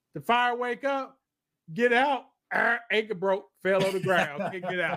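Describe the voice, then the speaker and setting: The tone is animated, with ordinary pitch variation. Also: man. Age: 70s. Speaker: podcast host. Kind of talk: casual chat.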